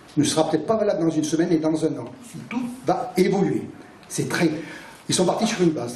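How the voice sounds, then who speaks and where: With ordinary pitch variation, the voice comes through audible room echo and noticeable background noise. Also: man. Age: 60s. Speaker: NGO coordinator. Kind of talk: public talk at a debate meeting.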